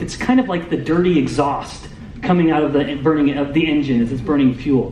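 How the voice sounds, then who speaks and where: A man speaks loudly at a moderate pace. There is audible room echo and noticeable background noise. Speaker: metabolic scientist. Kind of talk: lecture.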